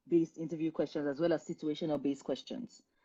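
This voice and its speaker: Here a woman with a Nigerian accent talks at a very fast pace. Her voice sits fairly low, with a dark, mellow tone. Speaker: career coach. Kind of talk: live stream Q&A advice. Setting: Instagram live stream.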